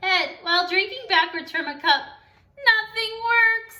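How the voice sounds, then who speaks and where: A woman does a squeaky, put-on character voice at an extremely high pitch. She speaks at a fairly slow pace. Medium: read story. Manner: chatty, breathless, interrupted by hiccup gasps.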